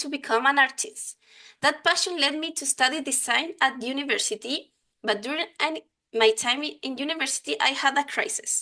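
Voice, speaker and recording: A woman with a Chilean accent projects a raised voice, high-pitched, with a bright, sharp tone and ordinary pitch variation. The background is quiet. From Chile, Santiago. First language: Spanish. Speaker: software design lead and conference speaker. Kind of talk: conference talk. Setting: online conference. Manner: halting, many fillers.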